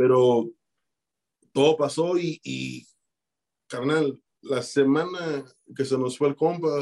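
A man speaks at a fairly high pitch, with a dark, mellow tone. His intonation stays fairly even, broken by long, frequent pauses. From Chicago, Mexican-born. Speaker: rapper. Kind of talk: casual interview.

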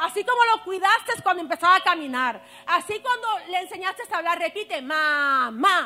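A woman's raised, projected voice at an extremely high pitch with lively intonation. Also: moderate pace. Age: 40s. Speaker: preacher. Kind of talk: sermon.

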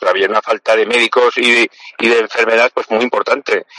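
This is a man speaking. He keeps a moderate pace. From Spain, Aragon (Zaragoza). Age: 50s. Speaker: politician and doctor. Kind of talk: interview. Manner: halting, many fillers.

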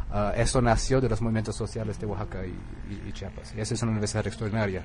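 A man speaks at a very fast clip with an English accent. Room echo can be heard around him. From US Northeast (Connecticut). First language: English (speaking Spanish). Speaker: author. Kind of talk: radio interview. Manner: halting, with fillers.

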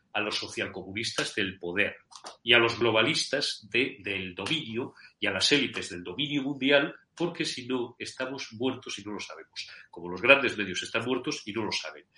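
A man's medium-pitched voice with a bright, sharp tone and lively intonation. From Spain, Madrid with Zamora family roots. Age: 50s. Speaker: journalist. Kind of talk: interview.

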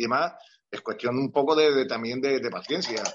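With ordinary pitch variation, the man talks in a normal speaking voice. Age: 60s. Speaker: retired football club physiotherapist. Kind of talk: interview.

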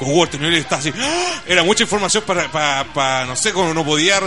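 In a Chilean accent, a man speaks very fast at a high pitch, his tone animated and his intonation lively, with music playing in the background. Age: 20s. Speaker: radio host. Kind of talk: casual chat. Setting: studio.

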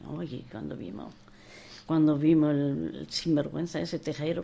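A woman with vocal fry talks at a fairly slow pace. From Spain, Andalusia and Madrid. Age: 80s+. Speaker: war exile and memoir author. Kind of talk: interview testimony. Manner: halting, repetitive.

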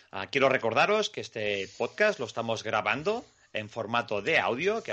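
Very wide pitch swings run through a man's medium-pitched voice. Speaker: podcast host. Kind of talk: casual podcast chat.

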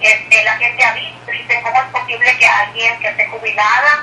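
Speech comes at a moderate pace with fairly even intonation. Noticeable noise runs in the background. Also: woman. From Mexico, Tamaulipas. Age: 60s. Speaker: retired teacher turned businesswoman. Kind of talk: phone interview.

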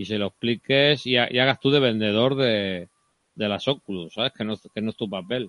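Here is a plain, everyday voice. A man speaks at a moderate pace and medium pitch with fairly even intonation. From Cartagena, Spain. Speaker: podcast host. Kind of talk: casual tech discussion.

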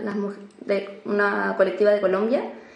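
Noticeable background noise and audible room echo around a woman speaking fairly slowly. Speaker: activist. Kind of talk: casual chat.

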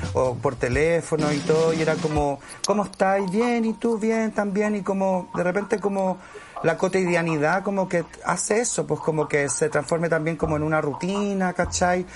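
Against noticeable background noise, a man with a high pitch keeps very even loudness, ordinary pitch variation and a moderate pace. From Chile, Santiago (Conchalí). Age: 40s. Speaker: actor. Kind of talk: casual chat.

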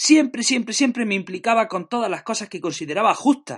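A man's voice sounds dry and close with no echo, over a quiet background. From Spain, Jaén (Andalusia). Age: 30s. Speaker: teacher and podcaster. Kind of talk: podcast monologue.

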